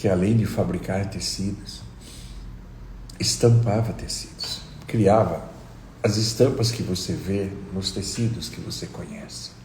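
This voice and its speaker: In a room with audible echo, a man with a fairly low voice talks at a fairly slow pace, his intonation lively, his loudness swinging widely, and his pauses long and frequent. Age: 60s. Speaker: meditation teacher. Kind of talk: live stream talk. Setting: live stream.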